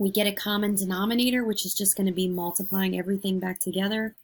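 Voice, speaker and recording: A woman speaks at a medium pitch in a somewhat breathy voice, her intonation monotone and flat. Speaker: math teacher. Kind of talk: lecture.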